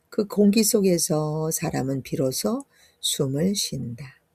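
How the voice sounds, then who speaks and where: Somewhat breathy, a woman talks at a very slow pace in a fairly low, dark, mellow tone. Her intonation is lively. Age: 60s. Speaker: yoga instructor. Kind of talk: reading her own ebook aloud.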